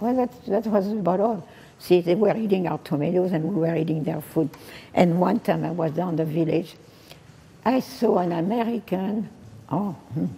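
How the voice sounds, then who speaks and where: Someone with a French accent speaks at a moderate pace, using ordinary pitch variation and long, frequent pauses. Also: woman, fairly low pitch for a woman. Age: 80s+. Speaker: French teacher. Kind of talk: public speech, personal wartime memories. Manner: hesitant, many pauses and fillers.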